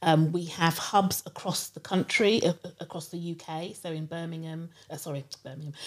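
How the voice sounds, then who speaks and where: A woman speaks in a London accent. Her pitch is fairly low and her intonation fairly even. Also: moderate pace, big swings in loudness. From London (Harrow). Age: 50s. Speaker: education marketing director. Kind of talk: interview. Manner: halting, many fillers.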